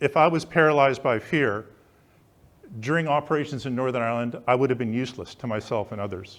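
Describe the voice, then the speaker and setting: A man talks at a fairly quick pace in medium pitch with ordinary pitch variation, an ordinary speaking voice. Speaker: management consultant; war veteran. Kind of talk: public speech. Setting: live event.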